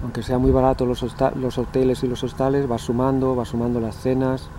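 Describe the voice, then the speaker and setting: The sound is dry, without echo, and carries a bit of background noise. A man talks at an even, middling pace. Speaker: cycling vlogger; cyclist vlogger. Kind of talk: casual vlog monologue. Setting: outdoors. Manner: animated. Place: forest. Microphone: phone near.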